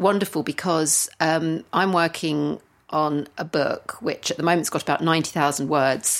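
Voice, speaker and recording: A normal speaking voice moves at a fairly slow pace with ordinary pitch variation in a very clean recording over a silent background. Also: woman. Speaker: lyricist and co-host. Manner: playful, bubbly.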